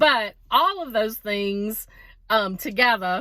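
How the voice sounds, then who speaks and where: A woman with an American accent speaks in a fairly high, animated tone. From South Louisiana (Cajun, bayou). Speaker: vlogger. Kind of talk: casual vlog monologue.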